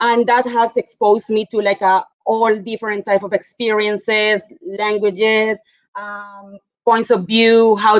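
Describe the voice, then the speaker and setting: A woman with a Spanish accent, medium-pitched, at a fairly slow pace, monotone and flat, in a dry, close sound with no echo. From Colombia. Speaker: mining geologist. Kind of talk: panel discussion.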